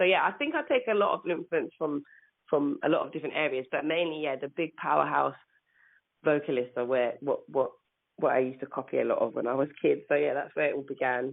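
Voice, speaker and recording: A woman with a London accent at a very fast pace. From England. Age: 30s. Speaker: singer. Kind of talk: interview. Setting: phone call.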